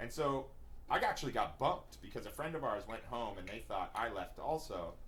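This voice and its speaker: An animated man at a fairly quick pace, with audible room echo. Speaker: comedian and podcast co-host. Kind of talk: casual chat.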